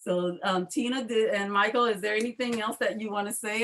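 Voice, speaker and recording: Speaking very fast with a New Orleans accent, a woman shows ordinary pitch variation. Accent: New Orleans Southern US. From US South, New Orleans. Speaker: panel discussion host. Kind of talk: panel discussion.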